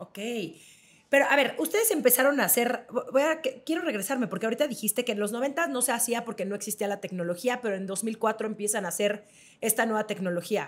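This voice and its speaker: A woman speaks very fast in a fairly high voice. Her pitch varies in an ordinary way. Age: 30s. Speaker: podcast host. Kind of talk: interview. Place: home room. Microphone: studio mic.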